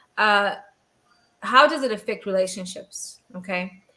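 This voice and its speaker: The voice belongs to a woman, bright and sharp in tone. Her pitch varies in an ordinary way. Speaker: podcast host. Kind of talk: casual chat. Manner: swallows words.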